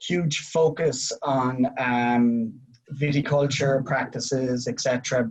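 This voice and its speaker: A man with a somewhat breathy, medium-pitched voice speaks with fairly even intonation. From Ireland. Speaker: winery representative. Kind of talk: casual chat.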